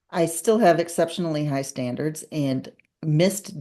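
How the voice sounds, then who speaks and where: A woman speaks at a fairly slow pace with lively intonation against a quiet background. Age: 60s. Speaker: business consultant. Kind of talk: interview.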